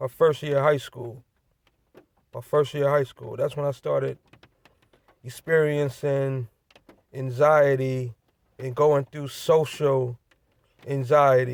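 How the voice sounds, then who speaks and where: The speech moves at a very slow pace in a flat monotone, broken by long, frequent pauses. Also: man, fairly high pitch for a man. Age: 30s. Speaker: vlogger. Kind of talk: personal vlog monologue. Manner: repetitive, halting with fillers.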